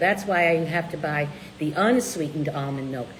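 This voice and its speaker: A woman's lively intonation amid noticeable background noise. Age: 60s. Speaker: low-carb cookbook author and co-host. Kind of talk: casual live chat answering viewer questions.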